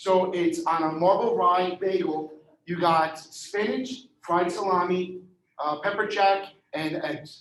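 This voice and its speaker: Audible room echo surrounds a man with a high pitch who speaks at a very slow pace, with ordinary pitch variation. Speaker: real estate trainer. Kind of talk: lecture. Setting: classroom with audience, streamed on Zoom. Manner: animated.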